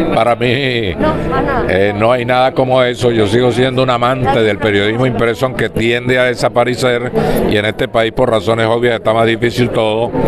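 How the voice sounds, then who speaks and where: A man talks at a moderate pace. Loud background noise surrounds a dry sound with no echo. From Venezuela, Barquisimeto. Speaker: veteran sports journalist and broadcaster. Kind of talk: interview answer. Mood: nostalgic, warm. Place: hall. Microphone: handheld.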